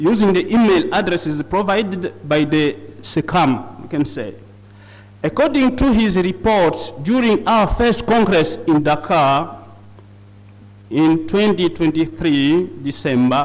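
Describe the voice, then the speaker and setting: A man's high voice with lively intonation at a fairly slow pace, audible room echo and noticeable background noise. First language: not English. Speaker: conference speaker on liturgy. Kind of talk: conference presentation. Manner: halting.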